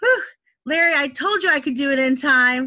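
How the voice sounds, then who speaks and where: The tone is bright and sharp, delivered at a moderate pace. The recording is very clean, with a silent background. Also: woman. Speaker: online instructor presenting at faculty meeting. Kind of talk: presentation at a staff training meeting.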